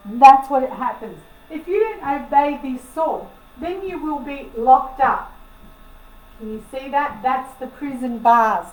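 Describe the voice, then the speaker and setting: Audible room echo surrounds a woman with a high pitch and lively intonation. She speaks at a fairly slow pace. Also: big swings in loudness. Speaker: astrologer / spiritual channel owner. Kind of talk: casual monologue to camera.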